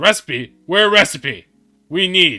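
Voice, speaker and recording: Music plays in the background as a man uses a put-on character voice pitched high. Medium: actual play. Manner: broken pidgin speech, grabby.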